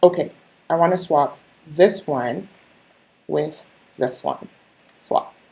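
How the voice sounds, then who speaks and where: A woman with a very deep, low pitch and a dark, mellow tone speaks very slowly with vocal fry and long, frequent pauses. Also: ordinary pitch variation. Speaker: online business coach and skincare seller. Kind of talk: live-stream tutorial. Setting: live stream with screen share. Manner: casual, conversational.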